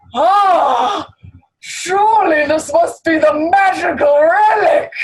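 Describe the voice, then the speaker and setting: Someone shouts in a put-on character voice at an extremely high pitch. The pace is very slow. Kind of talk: comic overacting, mock-epic speech. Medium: stage play. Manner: loud, pompous, theatrical.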